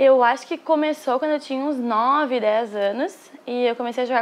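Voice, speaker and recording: With a gaúcho accent, a woman speaks in a high voice. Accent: Brazilian gaúcho Portuguese. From southern Brazil, Porto Alegre. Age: 20s. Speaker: professional padel player. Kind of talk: interview.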